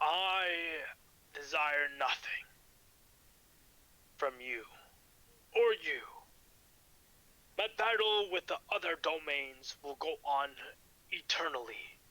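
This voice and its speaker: A raspy, put-on character voice from a man, high-pitched and very slow. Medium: actual play. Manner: booming, solemn, imposing.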